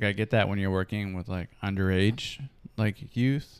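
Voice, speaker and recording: A man with an American accent speaks fairly quickly at a fairly low pitch in a plain, everyday voice. The recording is very clean, with a silent background. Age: 30s. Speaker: podcast host. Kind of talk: casual interview.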